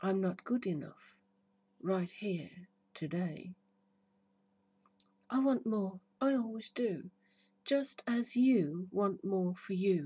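Speaking at a very slow pace, a woman uses a dark, mellow, soothing tone that is somewhat breathy, with lively intonation. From United Kingdom. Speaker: hypnotherapist. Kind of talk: poetry reading. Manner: slow, soothing. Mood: warm, soothing, upbeat. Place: garden. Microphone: phone near.

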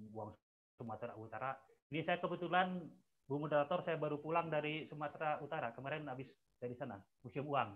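The speaker is a man talking at a fairly quick pace. His pitch varies in an ordinary way over light background noise. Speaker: researcher; webinar presenter. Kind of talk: webinar presentation. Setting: video call. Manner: halting. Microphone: too quiet; video call.

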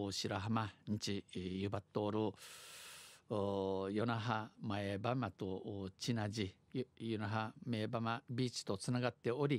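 The recording is very clean, and the background is silent. A man speaks very slowly. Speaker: dialect news presenter. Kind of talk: radio news read in Okinawan dialect and Japanese.

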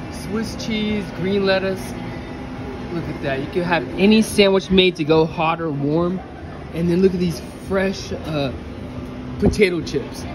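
Long, frequent pauses break up the fairly slow delivery. Noticeable background noise is heard throughout. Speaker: vlogger. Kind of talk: casual vlog chat. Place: cafe. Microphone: phone near.

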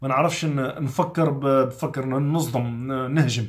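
A somewhat breathy man against a quiet background. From Algeria. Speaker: chef and political commentator; politics commentator. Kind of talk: motivational vlog monologue. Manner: animated. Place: home room.

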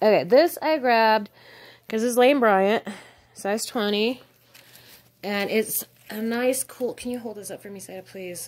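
A woman with an American accent, fairly high-pitched and fairly slow, with ordinary pitch variation, big swings in loudness, and long, frequent pauses. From Nevada, US West. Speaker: thrift reseller. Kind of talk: casual haul video. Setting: at home with cats. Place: home room. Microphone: phone near.

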